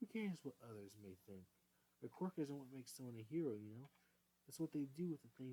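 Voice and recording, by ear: The intonation is lively while someone is reading aloud in a natural voice.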